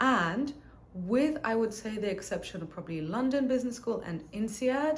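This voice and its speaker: Somewhat breathy and fairly high-pitched, a woman speaks at a moderate pace with lively intonation and audible room echo. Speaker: business educator and MBA graduate. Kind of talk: educational talk to camera. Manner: casual, conversational.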